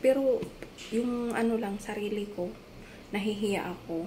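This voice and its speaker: A soft-spoken woman at a medium pitch talks at a moderate pace with ordinary pitch variation, with audible room echo and noticeable background noise. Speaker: domestic helper vlogger. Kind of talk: casual cooking vlog. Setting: employer's home in Singapore.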